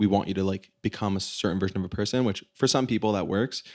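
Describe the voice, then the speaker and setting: On a very clean recording with a silent background, a man with an unremarkable speaking voice and an American accent talks at a fairly low pitch and fairly quick pace with ordinary pitch variation. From US, South Florida. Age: 20s. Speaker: singer-songwriter. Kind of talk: interview.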